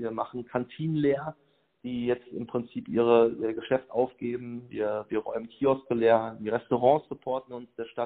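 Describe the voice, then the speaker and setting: A man speaks at a moderate pace. His medium-pitched voice has monotone, flat intonation. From Germany, Sauerland (Lüdenscheid). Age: 30s. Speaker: agency owner and volunteer. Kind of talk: interview. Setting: phone call.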